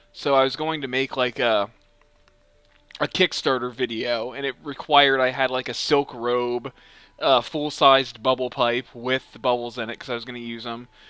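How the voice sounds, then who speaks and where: Music plays in the background as a man speaks at a moderate pace and medium pitch, flat and monotone, with big swings in loudness and a dry, close sound with no echo. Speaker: let's play co-host. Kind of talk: casual chat.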